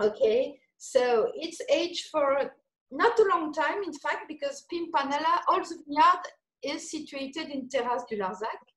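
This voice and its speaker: Speaking fairly slowly in a French accent, this voice swings very widely in pitch and shifts greatly in loudness. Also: woman, high pitch for a woman. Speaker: winemaker. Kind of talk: casual chat. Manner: halting.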